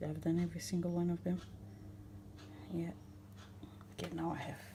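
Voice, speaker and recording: A woman with a non-native accent, with audible room echo. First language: not English. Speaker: home baking channel host. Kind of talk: tutorial. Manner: casual, chatty.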